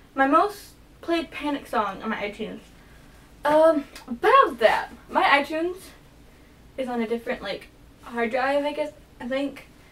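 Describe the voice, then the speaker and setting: Over noticeable background noise, a woman speaks at a moderate pace in a high voice with lively intonation, pausing often and at length. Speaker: vlogger. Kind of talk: casual vlog monologue. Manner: halting. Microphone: poor camera quality.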